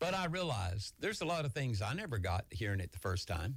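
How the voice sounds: Vocal fry from a man with fairly low pitch at a fairly quick pace.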